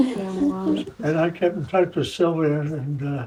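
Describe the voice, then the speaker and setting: Pitched fairly high, a man's voice has a dark, mellow tone and ordinary pitch variation. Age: 80s+. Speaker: World War II veteran. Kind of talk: interview answer.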